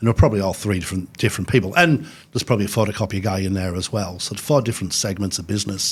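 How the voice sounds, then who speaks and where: The man's voice sits at a fairly low pitch. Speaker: technology company sales director. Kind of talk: podcast interview. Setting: studio at host's offices. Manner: hesitant, many fillers.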